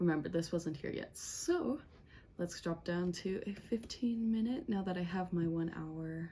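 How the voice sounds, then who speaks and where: A woman's dark, mellow, somewhat breathy voice, fairly low in pitch, at a fairly slow pace. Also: ordinary pitch variation. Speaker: day trader and trading educator. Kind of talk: screen-share trading tutorial. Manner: animated.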